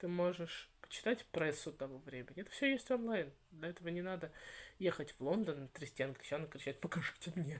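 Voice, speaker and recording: A woman with a fairly low pitch speaks at a fairly quick pace in an animated tone. Her intonation is lively, and her loudness swings widely. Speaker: channel host on Victorian topics, writer. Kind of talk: interview conversation.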